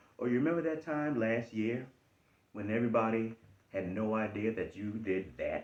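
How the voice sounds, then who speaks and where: A man talks at a moderate pace in an American accent. His pitch is medium, with ordinary variation. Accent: Charleston Geechee. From US South, Charleston, South Carolina. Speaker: life coach / motivational talker. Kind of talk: motivational talk. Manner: repetitive, emphatic.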